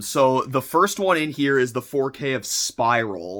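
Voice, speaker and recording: A man's fairly high, bright, sharp voice, with an animated tone, lively intonation and a moderate pace, on a very clean recording with a silent background. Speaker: YouTuber. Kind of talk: unboxing video.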